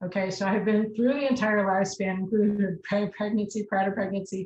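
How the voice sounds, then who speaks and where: Her intonation is monotone and flat. The woman's medium-pitched voice is somewhat breathy. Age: 60s. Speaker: college nutrition professor. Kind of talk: lecture.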